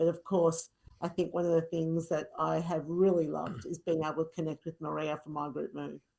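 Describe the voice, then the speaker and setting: In an Australian accent, a woman speaks at a moderate pace with a fairly low pitch and a dark, mellow tone. Her pitch variation is ordinary. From rural Victoria, Australia. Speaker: fitness instructor. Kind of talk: podcast interview.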